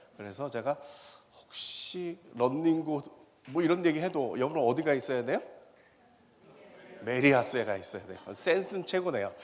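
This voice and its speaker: With noticeable background noise behind him, a man talks at a fairly quick pace in an animated tone, his fairly high pitch moving with ordinary variation. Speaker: professor. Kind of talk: lecture. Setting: stage with audience. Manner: fast.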